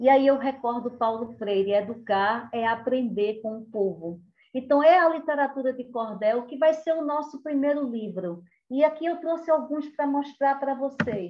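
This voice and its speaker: The voice, in a Pernambuco accent, moves at a fairly slow pace with lively intonation. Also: woman, high pitch for a woman. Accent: Northeastern Brazilian (Pernambuco), kept. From Brazil, Caruaru, Pernambuco (Northeast). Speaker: cordel poet and storyteller. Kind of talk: cultural talk with storytelling.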